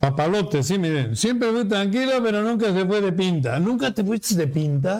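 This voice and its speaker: A man talks at a moderate pace with a high pitch and lively intonation. He takes hardly any pauses, and his loudness stays very even. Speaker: radio talk show host. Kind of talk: casual chat.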